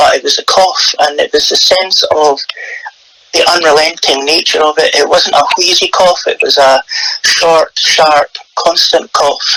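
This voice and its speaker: A man speaks at a fairly slow pace in a Scottish accent, with very even loudness. The sound is dry and close with no echo, though noticeable background noise is present. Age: 60s. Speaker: retired PR director, ostomy patient. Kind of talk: interview testimony. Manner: hesitant, many fillers.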